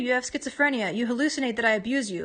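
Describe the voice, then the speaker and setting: Against a quiet background, a woman speaks at a high pitch with ordinary pitch variation. Her tone is bright and sharp. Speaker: vlogger. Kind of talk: personal testimony vlog. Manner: fast; halting, stammering.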